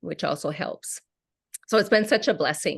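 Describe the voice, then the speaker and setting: A woman's lively intonation over a quiet background. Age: 60s. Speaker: wellness product seller, former teacher. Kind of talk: online group call presentation. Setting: video call.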